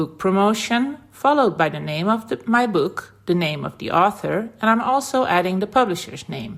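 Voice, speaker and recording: With a Dutch accent, a woman speaks at a medium pitch with hardly any pauses and very wide pitch swings. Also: moderate pace. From Netherlands. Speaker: website founder. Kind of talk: tutorial.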